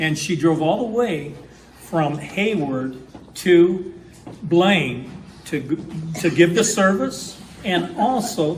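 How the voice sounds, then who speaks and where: With an American accent, a man speaks high in pitch with ordinary pitch variation. Room echo is audible, and background noise is noticeable. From northwestern Wisconsin. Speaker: historical society historian and event host. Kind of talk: event introduction. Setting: town hall meeting with audience. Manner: halting, many fillers.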